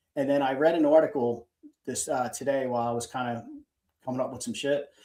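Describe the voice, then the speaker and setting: A man with a Philadelphia accent, his tone dark and mellow, at a very fast pace. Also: medium pitch for a man, ordinary pitch variation. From Philadelphia, US. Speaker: fan podcast co-host. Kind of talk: casual chat. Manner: halting.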